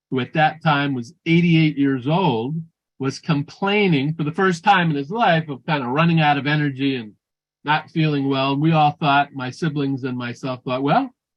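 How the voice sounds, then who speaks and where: At a moderate pace, a man speaks in an ordinary speaking voice. His pitch is fairly high, with ordinary variation. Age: 60s. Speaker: functional nutrition practitioner. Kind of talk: conference talk.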